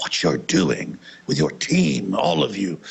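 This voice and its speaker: A put-on character voice from a man with a British accent, very deep and low in pitch, at a fairly slow pace. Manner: polite, appreciative.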